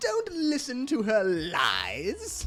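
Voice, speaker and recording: A put-on character voice at a fairly high pitch. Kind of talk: theatrical, exaggerated. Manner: comedic over-enunciation.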